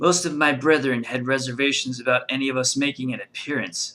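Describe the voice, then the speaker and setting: A put-on character voice from a man, medium in pitch, at a fairly quick pace. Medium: read story.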